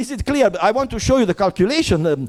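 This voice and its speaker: Here a man speaks with an Italian accent. His intonation is lively. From Italy. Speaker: theoretical physicist. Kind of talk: heated conference discussion. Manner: halting, many repetitions and false starts; impassioned.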